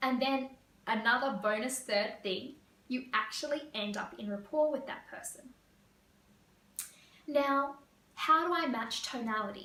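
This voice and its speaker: Over noticeable background noise, a woman with a high pitch uses a raised, projected voice at a fairly slow pace, with long, frequent pauses, big swings in loudness and ordinary pitch variation. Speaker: career coach. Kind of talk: tutorial.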